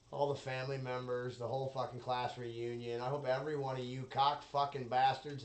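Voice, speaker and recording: Noticeable background noise and audible room echo surround a man's voice. He talks at a fairly quick pace and medium pitch, with monotone, flat intonation. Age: 30s. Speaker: solo podcaster. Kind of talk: casual monologue.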